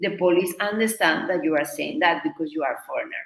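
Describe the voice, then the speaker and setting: A woman speaks with a Spanish accent. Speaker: Spanish teacher. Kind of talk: online workshop. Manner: halting.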